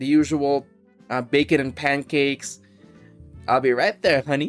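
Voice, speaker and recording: A man puts on a drawling character voice, pitched fairly high, at a moderate pace with ordinary pitch variation. Faint music plays in the background. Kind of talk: casual, friendly. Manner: folksy, drawling.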